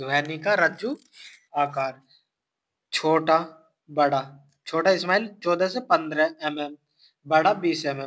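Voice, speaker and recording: With long, frequent pauses, a man speaks in a fairly high pitch with ordinary pitch variation. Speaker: exam-prep science teacher. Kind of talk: lecture.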